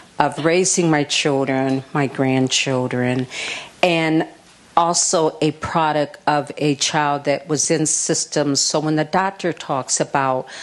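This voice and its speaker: In an American accent, the speaker goes very slowly with fairly even intonation and very even loudness, over noticeable background noise. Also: woman. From Minnesota. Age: 60s. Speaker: early childhood program director. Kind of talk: panel discussion at live event. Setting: stage with audience.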